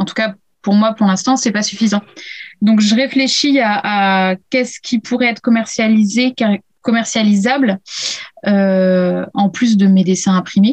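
A woman with a fairly high, somewhat breathy voice speaks at a fairly slow pace with fairly even intonation and long, frequent pauses, in a dry, close sound with no echo. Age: 30s. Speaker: illustrator. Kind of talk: casual interview. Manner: hesitant, many fillers.

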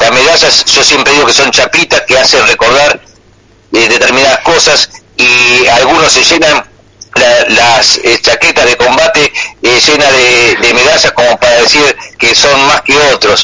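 A man speaks at a fairly slow pace with very even loudness. Noticeable background noise is present. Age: 60s. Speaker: war veteran. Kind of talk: radio call-in conversation.

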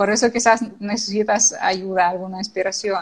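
A woman with an unremarkable speaking voice talks at a fairly slow pace, her intonation fairly even. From Ukraine. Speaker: social media consultant. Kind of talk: interview.

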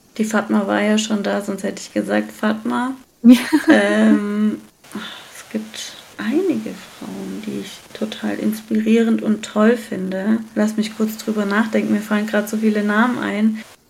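A woman speaks at a fairly slow pace. Audible room echo and noticeable background noise fill the recording. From Germany. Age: 30s. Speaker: entrepreneur, founder of a hair care brand. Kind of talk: casual interview.

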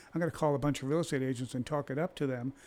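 A man's medium-pitched voice at a very fast pace, with fairly even intonation. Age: 60s. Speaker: real estate agent. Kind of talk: casual chat.

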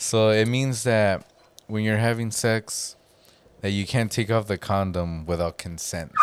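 An ordinary speaking voice from a man, fairly low in pitch, with ordinary pitch variation and a fairly slow pace. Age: 30s. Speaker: podcast co-host. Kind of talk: casual chat.

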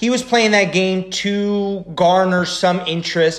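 A man talks at a fairly slow pace with a Mid-Atlantic American accent. Noticeable background noise sits behind him. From US Mid-Atlantic, Frederick, Maryland. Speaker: football podcast co-host. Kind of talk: casual chat.

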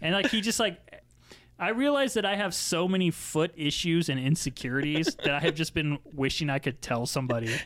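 A man with an unremarkable speaking voice talks at a fairly quick pace, fairly high in pitch, with lively intonation and very even loudness. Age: 30s. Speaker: sneaker enthusiast guest. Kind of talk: casual chat.

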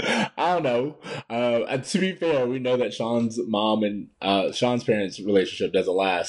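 A man with a plain, everyday voice speaks at a fairly slow pace, his medium pitch carried by lively intonation. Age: 30s. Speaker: TV show fan podcast co-host. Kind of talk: casual chat.

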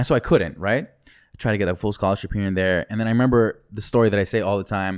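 On a very clean recording with a silent background, a man with an American accent races along at a very fast pace with hardly any pauses, his fairly low voice showing ordinary pitch variation and big swings in loudness. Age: 30s. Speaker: rapper and MC. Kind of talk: casual chat. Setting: studio. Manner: animated.

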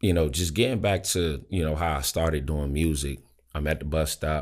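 A man speaks with a DC area accent in a very deep, low pitch. The recording is very clean, with a silent background. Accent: DC area Maryland (DMV). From Maryland, DC area, US. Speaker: rapper and music artist. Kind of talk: casual interview chat.

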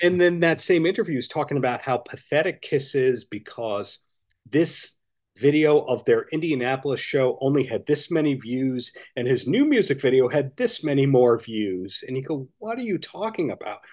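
With an American accent, a man uses a normal speaking voice at a fairly high pitch, with lively intonation and a moderate pace. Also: quiet background. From Long Island, New York. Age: 40s. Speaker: author. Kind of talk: interview.

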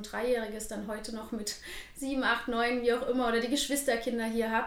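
A woman talks at a fairly quick pace with a fairly high pitch. Room echo is audible, and background noise is noticeable. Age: 20s. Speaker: dance studio owner. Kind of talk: interview.

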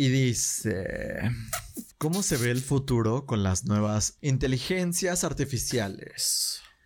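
This man speaks very slowly with a Mexican accent and lively intonation. His loudness stays very even. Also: medium pitch for a man. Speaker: podcast host. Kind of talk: casual chat. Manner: animated.

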